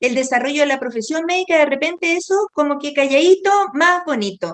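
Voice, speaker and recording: A woman talks at a moderate pace. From Chile. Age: 60s. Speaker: doctor. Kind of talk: interview.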